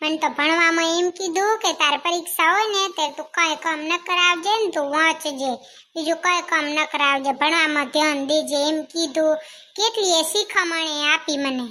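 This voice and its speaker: A woman's cartoonish character voice at an extremely high pitch and moderate pace, on a very clean recording with a silent background. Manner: eager, fast, affectionate.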